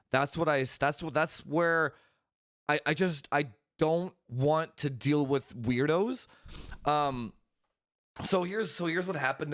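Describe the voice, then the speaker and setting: A man speaks at a moderate pace with lively intonation and long, frequent pauses. The recording is very clean, with a silent background. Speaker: tech podcast host. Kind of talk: casual chat. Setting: live stream with chat. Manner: talking quietly.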